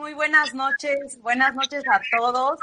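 A woman's raised, projected voice, high-pitched with a bright, sharp tone, at a fairly slow pace. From Mexico, Sierra Norte de Puebla. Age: 30s. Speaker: entrepreneur. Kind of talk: interview.

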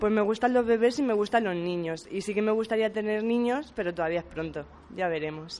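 With ordinary pitch variation, an ordinary speaking voice runs along at a fairly quick pace. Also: woman, fairly high pitch for a woman. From Spain, Puertollano (Castilla-La Mancha). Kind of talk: interview.

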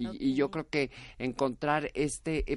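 A woman speaks with a very deep, low pitch. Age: 50s. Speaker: actress. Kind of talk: interview.

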